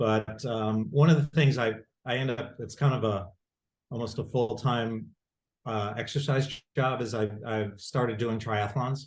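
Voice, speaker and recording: Somewhat breathy and at a medium pitch, a man with an American accent speaks at a fairly slow pace with fairly even intonation. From Rochester, New York. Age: 60s. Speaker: lawyer. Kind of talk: casual chat. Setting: video call. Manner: halting.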